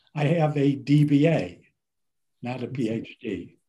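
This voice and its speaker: A man's dark, mellow, somewhat breathy voice with an American accent. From Cleveland, Ohio, US Midwest. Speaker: business professor. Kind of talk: interview.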